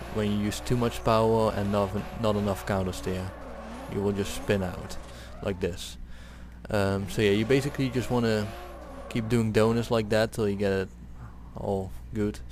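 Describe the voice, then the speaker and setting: Music plays in the background as a man talks with fairly low pitch. He leaves long, frequent pauses. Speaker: gaming video creator. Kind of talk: video game tutorial commentary. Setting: headset microphone. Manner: hesitant, casual.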